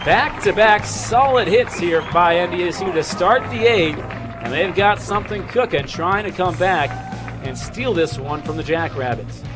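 Over clear music in the background, a man with a high pitch speaks at a fairly slow pace with hardly any pauses and very wide pitch swings. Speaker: sports play-by-play radio broadcaster. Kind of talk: live baseball play-by-play radio call.

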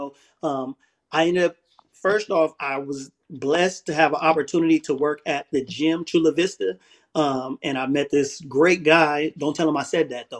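Against a quiet background, a man with an American accent uses a plain, everyday voice at a fairly high pitch with fairly even intonation. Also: moderate pace. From southeast San Diego, California. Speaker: former prisoner and ex-gang member. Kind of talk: interview, life story. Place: home room.

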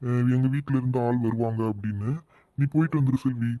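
Using a cartoonish character voice, a man speaks at a medium pitch and a moderate pace, with very even loudness and fairly even intonation. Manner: calm, soft-spoken.

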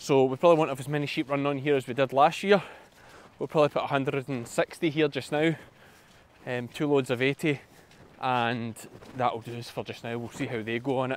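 Over light background noise, a man talks at a moderate pace with fairly even intonation and long, frequent pauses. The sound is dry with no echo. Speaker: sheep farmer vlogger. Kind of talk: casual vlog chat. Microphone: phone near.

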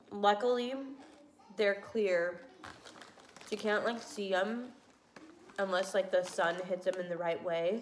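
Against noticeable background noise, a woman speaks very slowly at a medium pitch with ordinary pitch variation. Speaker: pregnancy vlogger. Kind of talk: casual talk to camera.

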